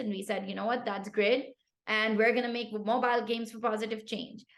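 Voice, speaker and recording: In a Pashto accent, a woman talks at a very fast pace with a fairly high pitch and an animated tone. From Pakistan. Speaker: tech founder. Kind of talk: podcast interview.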